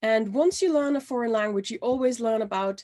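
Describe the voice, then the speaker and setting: A woman with a German accent talks at a fairly quick pace with ordinary pitch variation, in a very clean recording with a silent background. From Austria (Salzburg). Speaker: language trainer. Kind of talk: presentation.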